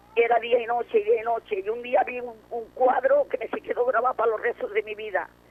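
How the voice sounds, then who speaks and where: With noticeable background noise behind her, a woman talks fairly quickly in a high voice with ordinary pitch variation. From Barcelona, Spain. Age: 80s+. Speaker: war survivor. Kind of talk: testimony.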